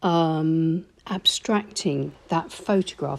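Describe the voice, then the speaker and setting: A woman speaks with ordinary pitch variation. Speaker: watercolour art teacher. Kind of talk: tutorial voiceover. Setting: voiceover recording.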